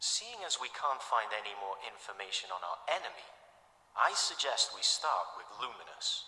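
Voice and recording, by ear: In a put-on character voice, a man speaks at a moderate pace with a fairly low pitch, big pitch swings and a bright, sharp tone, with audible room echo around him.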